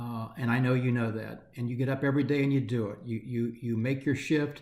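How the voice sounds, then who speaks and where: A man speaks fairly quickly at a medium pitch, his intonation monotone and flat. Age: 60s. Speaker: nonprofit chief executive. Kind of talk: candid video address to staff. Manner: hesitant, many fillers.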